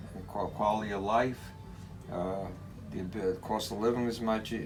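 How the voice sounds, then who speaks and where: A flat, monotone voice moves at a fairly quick pace, with audible echo from the room. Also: man. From New York City, Brooklyn. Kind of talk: interview. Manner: halting, many repetitions.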